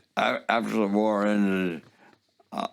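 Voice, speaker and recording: A man speaks very slowly in a fairly low pitch, his intonation monotone and flat. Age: 80s+. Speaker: war veteran. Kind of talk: interview answer.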